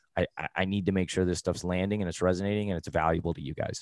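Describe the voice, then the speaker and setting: A man's very deep, low voice in a monotone, flat delivery, dry and close with no echo, on a very clean recording with a silent background. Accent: American. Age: 30s. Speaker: personal finance coach. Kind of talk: interview.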